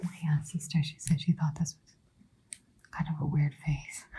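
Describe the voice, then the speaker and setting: Somewhat breathy, the voice comes as a whisper. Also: woman. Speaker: watercolor artist. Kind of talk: ASMR painting talk. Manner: whispered.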